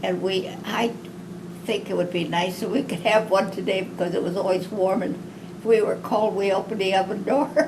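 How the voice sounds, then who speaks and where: Amid noticeable background noise and audible room echo, a woman with a medium pitch speaks at a moderate pace with fairly even intonation. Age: 90s. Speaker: wartime factory worker. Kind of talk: oral history interview. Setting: at home.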